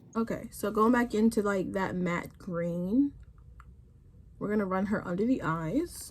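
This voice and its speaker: A woman's somewhat breathy voice, medium in pitch, with ordinary pitch variation and a fairly slow pace. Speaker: beauty YouTuber. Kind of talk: casual makeup tutorial talk to camera.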